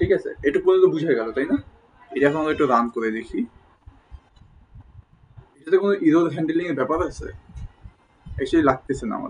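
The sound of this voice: A man with a slightly husky edge and fairly high pitch talks at a fairly quick pace with lively intonation. Long pauses come often.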